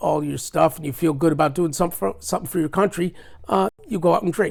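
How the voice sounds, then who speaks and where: A man with a high voice speaks at a very fast pace with ordinary pitch variation. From US Midwest, Chicago. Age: 70s. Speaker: Navy veteran. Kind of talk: casual interview. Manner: halting, frequent fillers.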